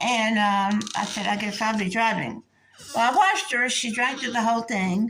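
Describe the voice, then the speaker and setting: A woman with a fairly high voice and fairly even intonation talks at a moderate speed over noticeable background noise. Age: 60s. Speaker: vlogger telling personal story. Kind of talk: casual storytelling monologue.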